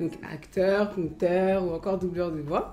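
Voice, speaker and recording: Music plays behind a woman speaking at a medium pitch. Her intonation is fairly even. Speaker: interview host. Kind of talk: casual interview questions.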